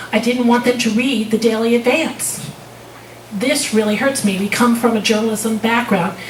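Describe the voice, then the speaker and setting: A woman speaks with a New Jersey accent at fairly high pitch, her intonation fairly even and her loudness very even. Noticeable background noise and audible room echo fill the recording. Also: moderate pace. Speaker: public commenter at city council, realtor. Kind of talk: public comment speech. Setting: city council meeting.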